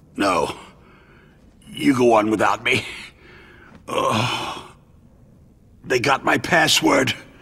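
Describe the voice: Using a put-on character voice, a man talks very slowly at a medium pitch with a bright, sharp tone, vocal fry and ordinary pitch variation.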